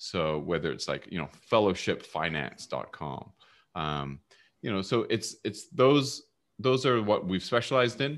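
Against a quiet background, a man with a Canadian accent talks at a fairly slow pace in a fairly low voice with vocal fry and very wide pitch swings. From Vancouver, Canada. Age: 50s. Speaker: entrepreneur and domain investor. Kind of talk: casual interview.

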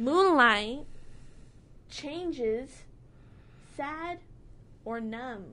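A woman projects her voice in a raised, high-pitched tone that is bright and sharp. Audible room echo surrounds her. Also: lively intonation. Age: 20s. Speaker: college radio host. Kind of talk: casual chat. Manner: animated.

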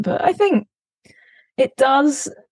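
A woman with an English accent speaks in a dry, close sound with no echo. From UK. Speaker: touring bass player. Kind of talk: interview. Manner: halting.

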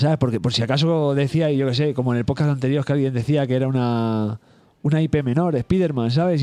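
This man talks at a very fast pace, his dark, mellow tone sitting at a fairly high pitch. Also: very even loudness. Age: 30s. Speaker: video game podcast co-host. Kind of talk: casual chat.

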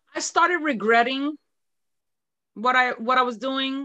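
Against a quiet background, a woman with an American accent speaks in a bright, sharp tone with ordinary pitch variation. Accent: New York, comes out at times. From New York. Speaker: fitness instructor, retired corrections officer. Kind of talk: casual interview.

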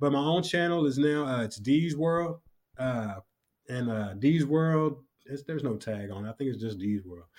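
In an unremarkable speaking voice, a man of medium pitch talks at a moderate pace with ordinary pitch variation. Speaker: hip-hop artist and barber. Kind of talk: casual interview chat.

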